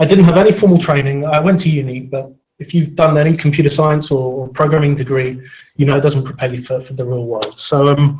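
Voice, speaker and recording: This man's voice is fairly high in pitch and somewhat breathy, and he moves at a fairly quick pace. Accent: London. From London, England. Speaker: software consultant and conference speaker. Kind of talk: technical talk. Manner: fast when excited.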